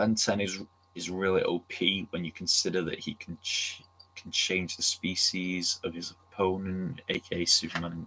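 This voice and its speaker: A man with a Manchester accent speaks in a very deep, low voice with a bright, sharp tone. His intonation is monotone and flat, and his pace is fairly slow. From Manchester, England. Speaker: streamer. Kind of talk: casual chat. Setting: livestream.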